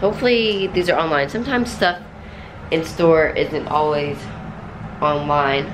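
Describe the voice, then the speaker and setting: With noticeable background noise, the speaker keeps a moderate pace, lively intonation and very even loudness, leaving long, frequent pauses. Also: woman, fairly low pitch for a woman. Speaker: lifestyle vlogger. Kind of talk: casual vlog chat. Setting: in a car. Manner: chatty, scattered.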